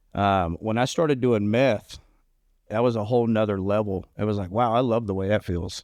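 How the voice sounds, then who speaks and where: Against a quiet background, a man uses an ordinary speaking voice at a moderate pace. His pitch is fairly low and his intonation fairly even. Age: 40s. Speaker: recovering addict podcast co-host. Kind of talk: casual chat.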